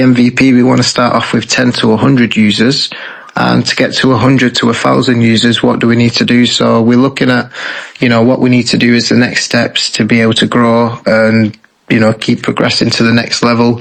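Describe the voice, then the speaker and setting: With a Lancashire accent, a man speaks at a fairly quick pace in a monotone, flat way. Noticeable background noise runs underneath. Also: very even loudness. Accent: British, Lancashire. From northern England, Bolton. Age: 20s. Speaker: game developer. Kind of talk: interview.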